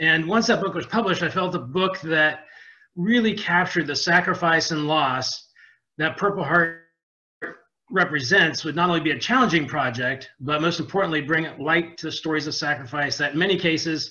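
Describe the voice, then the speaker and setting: This man speaks with ordinary pitch variation at a moderate pace. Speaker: webinar presenter. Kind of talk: lecture. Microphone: webcam.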